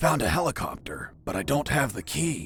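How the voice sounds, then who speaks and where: A man puts on a character voice, keeping a medium pitch and a middling pace. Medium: video game. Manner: terse, profane.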